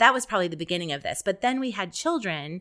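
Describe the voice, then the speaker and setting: A woman with an American accent speaks in a bright, sharp tone with ordinary pitch variation, recorded very cleanly against a silent background. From Ohio, US Midwest. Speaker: psychology professor. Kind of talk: interview conversation.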